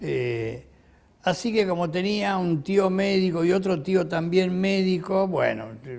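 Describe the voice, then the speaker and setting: A man with a high pitch talks at a fairly slow pace. His pitch varies in an ordinary way. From Argentina, Buenos Aires. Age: 80s+. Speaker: retired physician. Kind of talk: autobiographical interview. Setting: at home. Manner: halting, with many fillers.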